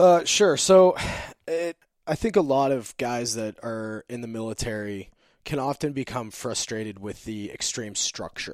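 With an ordinary speaking voice at a medium pitch, a man talks at a fairly slow pace with lively intonation and big swings in loudness, recorded very cleanly against a silent background. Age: 30s. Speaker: army veteran and entrepreneur. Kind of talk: interview.

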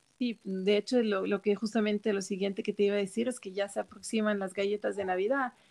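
A woman talks with hardly any pauses in a monotone, flat voice. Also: medium pitch for a woman, dry, close sound with no echo. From Switzerland. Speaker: cook. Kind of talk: casual chat.

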